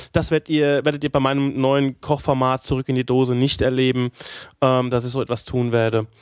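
The sound is dry and close with no echo. A man talks fairly quickly at a medium pitch in a monotone, flat way. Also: very even loudness. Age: 40s. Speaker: podcast co-host, stage musician. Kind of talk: casual chat.

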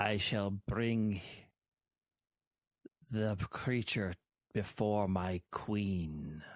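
A man's put-on character voice at a fairly low pitch and very slow pace, with long, frequent pauses over a quiet background

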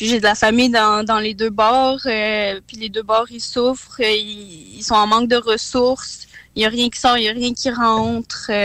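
A woman speaks at a fairly slow pace and fairly high pitch, in a monotone, flat intonation. Her loudness swings widely. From Quebec. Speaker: MMA fighter. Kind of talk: radio interview.

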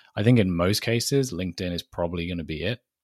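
Fairly low-pitched man in a British accent, fairly quick pace, dry, close sound with no echo, very clean recording with a silent background. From Britain. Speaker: marketing director. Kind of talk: interview.

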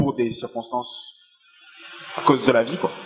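A man's voice with music in the background. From Benin. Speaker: audience member asking a question. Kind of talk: audience question.

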